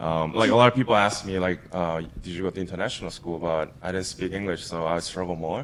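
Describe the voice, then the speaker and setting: With a Japanese accent, a man speaks at a very fast pace in a very deep, low pitch. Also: ordinary pitch variation, hardly any pauses. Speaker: crypto investor. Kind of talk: casual interview chat. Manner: many fillers and hesitations.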